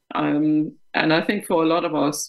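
A woman speaks with a Danish accent. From Denmark. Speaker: company board director. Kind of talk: interview.

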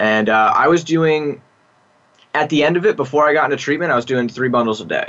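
With ordinary pitch variation, a man talks in a bright, sharp tone. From US East Coast suburbs. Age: 20s. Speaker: addiction treatment client. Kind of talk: interview.

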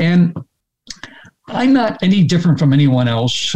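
A somewhat breathy male voice at a moderate pace. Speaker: health activist and author. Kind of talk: interview conversation. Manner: careful with certain words.

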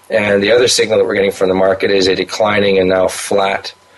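A man speaks at a fairly quick pace. Noticeable background noise can be heard. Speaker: gold market commentator. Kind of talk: interview. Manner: halting, repeats words.

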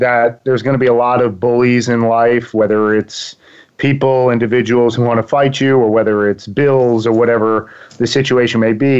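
A man with an East Coast accent, a medium pitch and monotone, flat intonation at a moderate pace. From Long Island, New York. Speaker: success coach. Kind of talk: interview.

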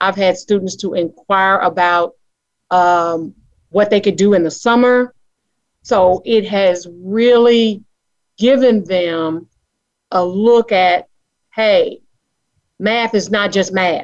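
A woman with an American accent speaks at a very slow pace, her pitch medium. Her intonation is fairly even, with long, frequent pauses. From Charlotte, North Carolina. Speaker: caller, middle school teacher.

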